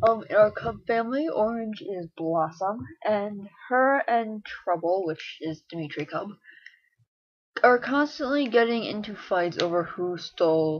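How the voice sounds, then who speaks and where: This woman mumbles at a medium pitch. Her pitch moves in very wide swings. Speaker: online roleplay writer. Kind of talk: casual vlog monologue. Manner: mumbles a bit; long awkward pauses.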